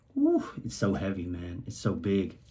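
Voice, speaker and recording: A man talks in an animated tone, his voice somewhat breathy. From Singapore, Eurasian upbringing. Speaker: rapper. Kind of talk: casual track commentary. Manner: animated, casual with many fillers.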